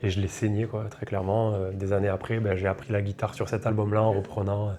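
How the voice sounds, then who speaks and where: A man's fairly low, monotone voice with flat intonation at a fairly quick pace, over noticeable background noise. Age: 30s. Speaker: reggae singer. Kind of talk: interview. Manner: casual, hesitant with fillers.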